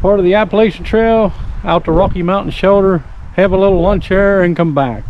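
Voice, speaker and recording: With light background noise and a dry sound with no echo, a man speaks at a high pitch. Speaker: hiking vlogger. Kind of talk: casual vlog chat. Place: forest. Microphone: phone near.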